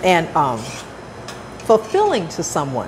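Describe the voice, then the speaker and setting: A woman speaks over noticeable background noise. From South Los Angeles, US. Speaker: chef and cooking show host. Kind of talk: cooking show chat. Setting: senior center kitchen.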